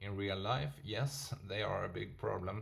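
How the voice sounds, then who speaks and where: Noticeable background noise runs under a man with a non-native accent, who speaks at a moderate pace in a fairly low pitch with lively intonation. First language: not English. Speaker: stock market video host. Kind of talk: casual investment commentary. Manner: halting, many fillers and self-corrections.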